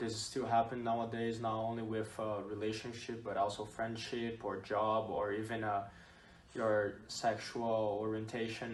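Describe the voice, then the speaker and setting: A man with a Portuguese accent at a medium pitch and moderate pace, amid audible room echo and noticeable background noise. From Brazil. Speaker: student athlete. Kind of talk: student podcast interview. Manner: hesitant, many fillers.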